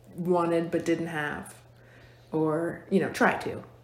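A woman speaks at a very slow pace in an American accent, with monotone, flat intonation. There is audible room echo. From Virginia, Fluvanna County. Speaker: hair and makeup stylist, salon owner. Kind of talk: casual interview.

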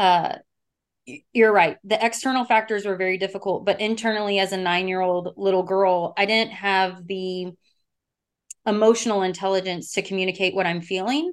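A woman's medium-pitched voice with an American accent, fairly even intonation and a moderate pace, over a quiet background. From Texas. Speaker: communication instructor. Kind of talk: casual interview chat. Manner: blunt, straightforward.

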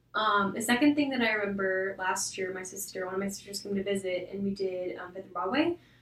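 Very fast and with big swings in loudness, a woman talks over noticeable background noise. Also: medium pitch for a woman, ordinary pitch variation, hardly any pauses. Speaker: young adult church group member. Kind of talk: casual chat.

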